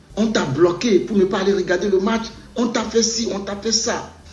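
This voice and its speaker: This man talks at a very slow pace in a room with audible echo. Background noise is noticeable. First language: a Togolese language (not French) (speaking French). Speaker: former footballer. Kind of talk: video monologue addressing a fellow player. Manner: repetitive, code-switching.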